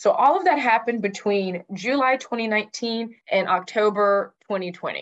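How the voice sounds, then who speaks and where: A woman's normal speaking voice, fairly high-pitched and lively in intonation, at a fairly slow pace with hardly any pauses. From Texas, Houston. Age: 30s. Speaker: nonprofit founder, breast cancer survivor, media professional. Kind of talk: interview testimony.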